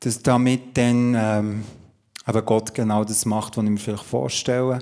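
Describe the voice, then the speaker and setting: This man speaks with fairly even intonation. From Switzerland, Emmental (Bern). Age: 50s. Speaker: pastor and coach. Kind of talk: testimony in a church talk interview. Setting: church service with audience.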